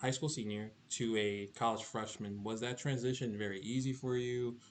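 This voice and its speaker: Here a man speaks at medium pitch and a moderate pace. It is a plain, everyday voice. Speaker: student podcast co-host. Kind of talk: casual interview. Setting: podcast.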